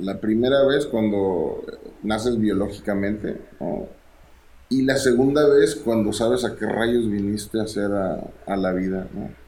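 A man speaks at a fairly slow pace with ordinary pitch variation. Audible room echo surrounds his voice. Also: fairly low pitch for a man. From Monterrey, northeastern Mexico. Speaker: musician. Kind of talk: casual chat.

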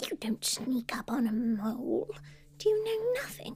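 A high-pitched, female-sounding put-on character voice over clear background noise. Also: moderate pace. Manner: rude, cranky, sharp.

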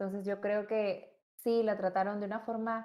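Woman with a fairly high voice at a moderate pace. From Peru. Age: 20s. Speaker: psychologist. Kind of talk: casual chat.

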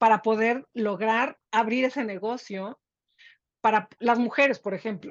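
A woman's fairly high voice at a very slow pace, dry and close with no echo. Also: quiet background. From Mexico. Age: 50s. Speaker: business executive and author. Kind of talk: interview. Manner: halting, many repetitions.

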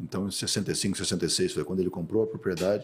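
A man speaks in a fairly low, somewhat breathy voice. The recording is very clean with a silent background. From Brazil, Mato Grosso do Sul. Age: 50s. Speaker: agronomist and rancher. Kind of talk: interview.

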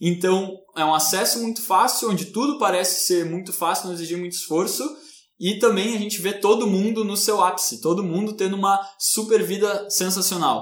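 A man speaks with a high pitch at a moderate pace. Noticeable background noise and audible room echo surround his voice. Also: fairly even intonation. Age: 20s. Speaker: podcast co-host. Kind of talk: casual discussion.

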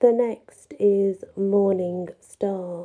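A woman's dark, mellow tone at medium pitch, with ordinary pitch variation. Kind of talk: poem reading with dream interpretation commentary. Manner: warm, grateful, friendly.

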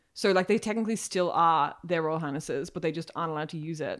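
A woman's fairly low voice with an Australian accent, at a very fast pace with ordinary pitch variation, on a very clean recording with a silent background. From Ireland. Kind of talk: casual chat.

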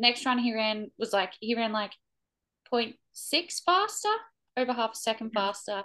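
With an Australian accent, a woman speaks at a fairly high pitch with ordinary pitch variation. Her tone is bright and sharp, and the background is quiet. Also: moderate pace. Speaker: podcast co-host, barrel racer. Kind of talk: casual chat.

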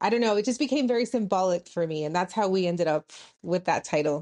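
A woman with an American accent, her sound dry and close with no echo, over a quiet background. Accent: Texas border Mexican American English. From US-Mexico border, El Paso, Texas. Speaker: author and college professor. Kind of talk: interview.

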